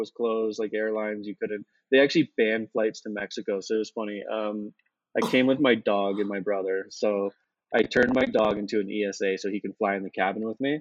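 An unremarkable speaking voice from a man, medium in pitch, fairly quick, with fairly even intonation. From Canada. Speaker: crypto investor and digital nomad. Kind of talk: casual interview chat.

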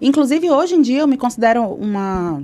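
A fairly high-pitched woman with lively intonation. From northern Brazil, Belém do Pará. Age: 30s. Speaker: singer-songwriter and music teacher. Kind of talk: casual interview chat.

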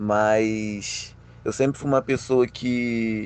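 A man with ordinary pitch variation. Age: 20s. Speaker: paralympic judo athlete and university student. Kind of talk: interview. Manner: halting.

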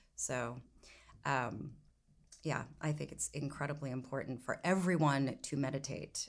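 A woman talks in a very deep, low voice with vocal fry. Her intonation stays fairly even, broken by long, frequent pauses. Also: fairly slow pace. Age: 50s. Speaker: podcast host. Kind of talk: interview.

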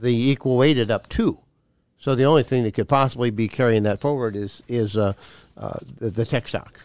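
In an American accent, a man talks at a moderate pace with an ordinary speaking voice, medium pitch and fairly even intonation, recorded very cleanly against a silent background with a dry, close sound and no echo. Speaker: radio show host, financial advisor. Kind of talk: casual chat on a radio show. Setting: studio radio show. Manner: joking, relaxed.

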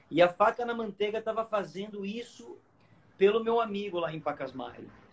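The man's pitch sits high, with ordinary variation. His pace is moderate. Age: 40s. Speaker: surfboard shaper. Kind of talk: live-stream product talk.

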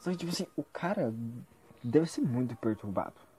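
A man's medium-pitched voice with a dark, mellow tone and lively intonation. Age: 20s. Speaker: vlogger. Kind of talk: casual monologue.

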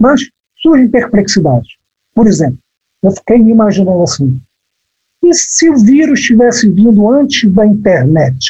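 Speaking at a moderate pace with long, frequent pauses, a man uses a high pitch, very wide pitch swings, very even loudness and a dark, mellow tone. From Brazil, Amazon (Belém, Pará). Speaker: writer. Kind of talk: casual chat.

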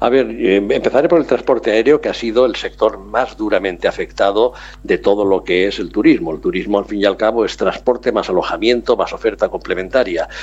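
Hardly any pauses break up this man's speech, which runs at a fairly quick pace. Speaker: travel business owner. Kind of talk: radio interview.

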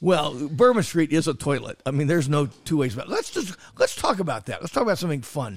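A somewhat breathy man's voice, fairly high in pitch, very fast with hardly any pauses. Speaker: restaurant critic and podcast host. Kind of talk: casual banter. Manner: jokey, wordplay-loving.

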